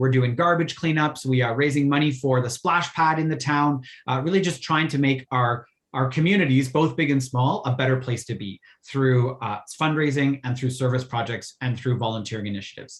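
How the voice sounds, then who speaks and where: A man speaks at a fairly quick pace and medium pitch. His voice is somewhat breathy, with ordinary pitch variation. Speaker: Rotary youth exchange volunteer presenter. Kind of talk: virtual info session presentation. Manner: fast.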